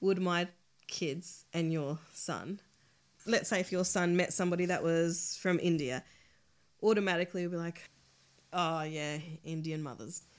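On a very clean recording with a silent background, a woman with an Australian accent speaks at a moderate pace and fairly low pitch, with fairly even intonation and long, frequent pauses. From Australia, born in El Salvador. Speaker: podcast guest, mother. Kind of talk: casual chat.

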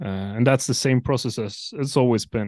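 A man with a Norwegian accent speaks against a quiet background. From Norway. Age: 20s. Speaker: metalcore band vocalist. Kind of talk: casual interview chat.

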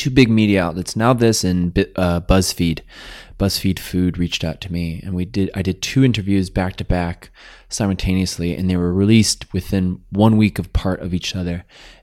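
Intonation stays fairly even as a man speaks at a moderate pace. His pitch is very deep and low. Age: 30s. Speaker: plant-based chef and content creator. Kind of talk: casual interview chat. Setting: home kitchen.

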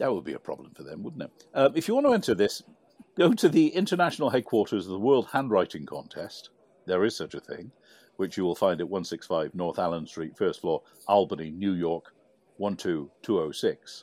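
A man with a British accent talks at a moderate pace. His loudness swings widely. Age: 60s. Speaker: podcast co-host. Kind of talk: casual chat.

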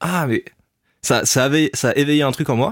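On a very clean recording with a silent background, a man speaks fairly slowly with ordinary pitch variation. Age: 20s. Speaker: former stand-up comedian. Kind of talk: casual interview. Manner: casual, hesitant with filler words.

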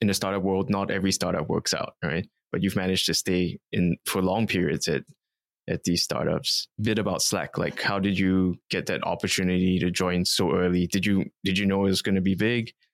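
In a very clean recording with a silent background and a dry, close sound with no echo, a man with a very deep, low pitch talks at a fairly quick pace, his intonation monotone and flat and his loudness very even. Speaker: podcast interviewer. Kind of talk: interview conversation. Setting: in-person recording in Singapore office.

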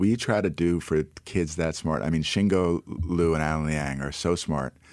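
With an American accent, a man with a very deep, low pitch talks at a moderate pace with ordinary pitch variation in a very clean recording with a silent background. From New York City. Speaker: entrepreneur and startup investor. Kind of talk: radio interview.

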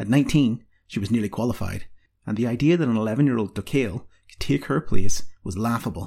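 The speaker offers plain reading aloud. Nothing much intrudes from the quiet background.

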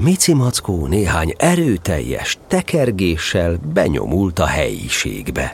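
The voice has a warm, playful tone and a very slow pace. There are hardly any pauses. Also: man. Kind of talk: fairy-tale audiobook reading, narration with character lines. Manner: warm, storytelling narrator with a gently playful, animated tone.

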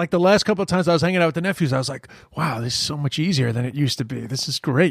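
A man's fairly high voice, somewhat breathy, at a very fast pace with ordinary pitch variation. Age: 40s. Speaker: podcast host. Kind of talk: casual chat.

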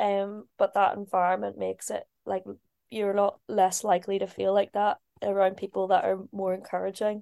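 In a very clean recording with a silent background, a woman with a Northern Irish accent talks at a moderate pace, the sound dry and close with no echo. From Belfast, Northern Ireland. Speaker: ice hockey player and interviewer. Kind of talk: casual interview. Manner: giggly.

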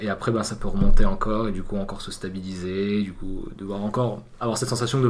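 A man talks at a very fast pace. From southern France. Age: 20s. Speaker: university student. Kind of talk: interview.

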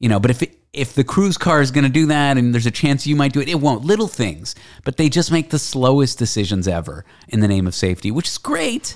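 Speaking at a very fast pace with very wide pitch swings, a man with an American accent keeps a medium pitch on a very clean recording with a silent background. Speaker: radio and podcast host. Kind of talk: casual chat. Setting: home studio, in person. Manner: joking, irreverent.

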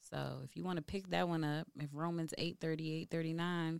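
A woman with a fairly low pitch speaks on a very clean recording over a silent background. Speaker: podcast host. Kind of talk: casual chat, faith-based podcast. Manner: animated, excitable.

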